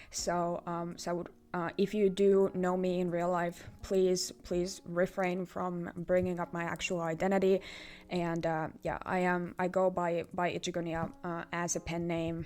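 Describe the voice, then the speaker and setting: With a Finnish accent, a woman talks fairly slowly in a fairly low pitch, her intonation monotone and flat. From Finland. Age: 20s. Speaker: artist. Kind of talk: vlog channel introduction. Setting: filming self on camera. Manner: halting, many fillers and repetitions.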